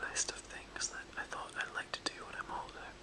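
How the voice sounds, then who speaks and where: The whispering moves at a moderate pace. There is noticeable background noise. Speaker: ASMR whisperer. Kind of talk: casual whispered chat to camera. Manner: whispered.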